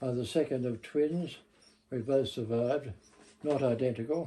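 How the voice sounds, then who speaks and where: Speaking in an Australian accent, a man has a medium pitch, a dark, mellow tone, fairly even intonation and a fairly slow pace. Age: 90s. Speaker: local history interviewee. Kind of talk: oral history interview.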